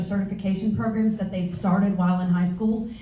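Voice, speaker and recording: Her delivery is monotone and flat, at a medium pitch and a fairly quick pace. The woman is heard with audible room echo. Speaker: school board candidate. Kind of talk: candidate forum answers. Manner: fast.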